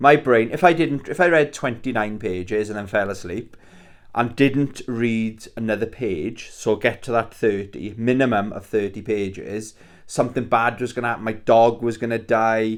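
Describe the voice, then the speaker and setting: A man with a strong Welsh accent speaks at a moderate pace and medium pitch, his pitch varying in an ordinary way, on a very clean recording with a silent background. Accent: thick Welsh. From Wales. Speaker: YouTuber, retro gaming. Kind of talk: casual vlog. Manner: casual, hesitant with fillers.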